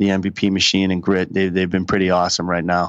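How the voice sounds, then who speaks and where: Against a quiet background, a man with a strong Boston accent speaks with a very deep, low pitch. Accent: Boston, thick. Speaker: college baseball head coach. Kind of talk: podcast interview. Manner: animated, many repetitions.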